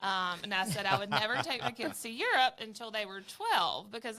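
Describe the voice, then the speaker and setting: With a strong Southern US accent, a woman speaks fairly quickly at a fairly high pitch, with ordinary pitch variation. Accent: thick Southern US. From Alabama, US South. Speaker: travel advisor. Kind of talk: casual interview chat. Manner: hesitant, many fillers.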